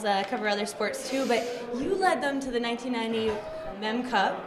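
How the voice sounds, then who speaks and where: Over noticeable background noise, a woman speaks at a fairly quick pace in a high pitch. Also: ordinary pitch variation. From Canada. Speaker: sports reporter. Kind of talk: interview question. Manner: energetic.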